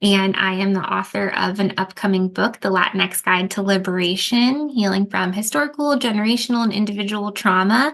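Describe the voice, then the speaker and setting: A woman with a plain, everyday voice and an American accent speaks at a medium pitch with ordinary pitch variation. Her pace is fairly quick, with hardly any pauses and very even loudness. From US, Mexican and Ecuadorian family. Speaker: trauma therapist and author. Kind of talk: podcast interview.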